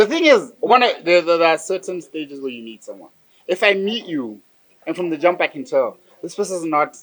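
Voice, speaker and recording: In a Botswana accent, a man speaks with a high pitch at a fairly quick pace. His loudness swings widely. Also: lively intonation. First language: Setswana. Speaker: podcast host. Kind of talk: casual chat.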